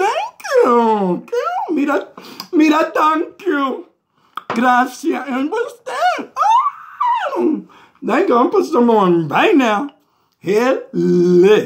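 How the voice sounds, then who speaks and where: A put-on character voice from a man, extremely high-pitched and drawling, at a fairly slow pace with long, frequent pauses. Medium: comedy sketch. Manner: sassy, drawling, peppered with "mm-hmm" and "honey".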